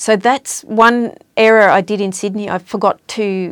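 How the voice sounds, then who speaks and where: A woman with an Australian accent speaks at a fairly high pitch with fairly even intonation. The recording is very clean and dry, close with no echo, and the background is silent. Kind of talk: casual chat. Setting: studio.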